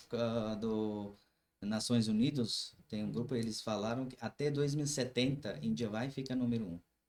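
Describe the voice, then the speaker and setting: This man speaks at a medium pitch and a moderate pace. His pitch variation is ordinary. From Kashmir. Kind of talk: casual podcast chat.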